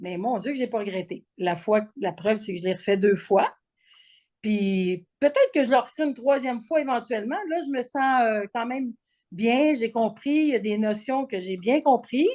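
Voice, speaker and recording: A woman with a Quebec accent, fairly high in pitch, at a moderate pace against a quiet background. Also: lively intonation. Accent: Québécois French. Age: 60s. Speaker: program participant. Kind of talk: testimony; interview. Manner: halting, frequent repetitions and fillers.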